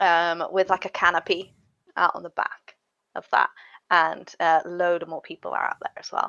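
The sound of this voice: A fairly bright, clear and smooth tone carries some vocal fry. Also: woman.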